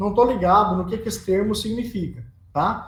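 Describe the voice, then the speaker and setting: Heard with audible room echo, a man speaks in a high pitch with ordinary pitch variation. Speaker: teacher of road engineering. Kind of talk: lecture.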